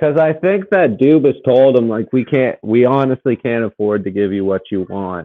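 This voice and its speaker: In an unremarkable speaking voice, the speaker moves at a moderate pace with lively intonation and hardly any pauses. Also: man, medium pitch for a man. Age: 30s. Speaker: podcast co-host. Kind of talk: casual chat.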